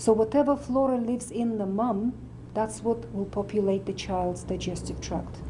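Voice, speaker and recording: A woman in a Russian accent, at a moderate pace. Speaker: medical doctor and nutritionist. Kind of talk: interview talk.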